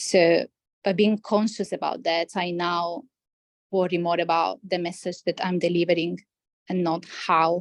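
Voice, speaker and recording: Speaking at a fairly slow pace, a woman with a non-native accent has a fairly low pitch. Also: dry, close sound with no echo. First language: not English. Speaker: healthcare scientist, former coaching client. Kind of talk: interview conversation. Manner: hesitant, many fillers and restarts.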